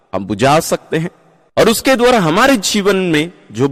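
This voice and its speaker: A man speaks in a calm tone with vocal fry, the sound dry and close with no echo. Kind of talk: guided meditation and Bible reflection. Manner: calm, explanatory, teaching.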